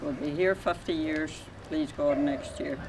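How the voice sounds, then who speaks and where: A man with a Donegal accent at a moderate pace, with ordinary pitch variation and noticeable background noise. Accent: Donegal Irish. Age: old. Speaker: local resident interviewee. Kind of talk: casual reminiscing chat.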